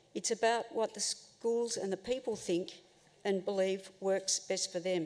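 A woman at a moderate pace with fairly even intonation. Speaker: presenter. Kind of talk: forum talk. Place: hall. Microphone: podium.

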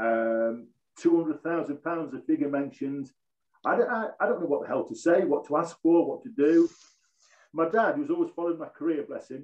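A man with an East Midlands accent at a moderate pace, against a quiet background. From Nottinghamshire, English East Midlands (Mansfield). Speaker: former professional footballer. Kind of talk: casual interview chat. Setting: video call. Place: home room. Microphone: video call.

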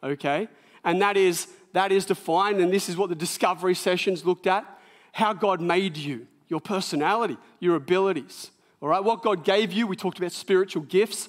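Against a quiet background, a man with a high pitch talks at a fairly quick pace with ordinary pitch variation. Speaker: pastor preaching. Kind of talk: sermon. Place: church.

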